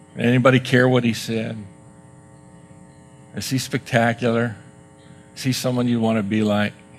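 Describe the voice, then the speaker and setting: With music in the background, a man of medium pitch talks at a moderate pace, taking long, frequent pauses. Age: 60s. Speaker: guest speaker at youth service. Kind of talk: sermon. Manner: animated.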